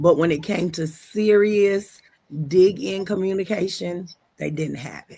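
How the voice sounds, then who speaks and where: A woman's ordinary speaking voice at a medium pitch and fairly slow pace, with fairly even intonation and big swings in loudness. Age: 60s. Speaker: podcast host. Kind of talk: casual chat. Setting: live stream.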